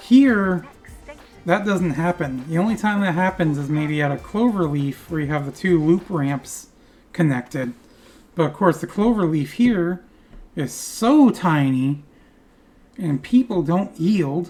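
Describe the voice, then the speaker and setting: With a dark, mellow tone and fairly low pitch, a woman speaks at a fairly slow pace, using lively intonation and long, frequent pauses. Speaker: gaming video creator. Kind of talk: gameplay commentary. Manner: casual, rambling.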